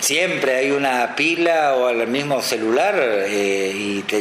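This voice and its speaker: Over noticeable background noise and audible room echo, a man talks at a medium pitch with lively intonation. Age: 60s. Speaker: veteran radio announcer. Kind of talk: interview. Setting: radio studio.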